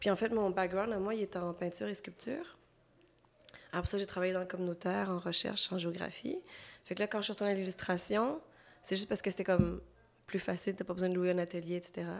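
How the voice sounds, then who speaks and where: A woman with a medium-pitched voice talks very fast, yet leaves long, frequent pauses. Her intonation is fairly even. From Quebec, Montreal; Cambodian family. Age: 30s. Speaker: illustrator. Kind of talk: interview.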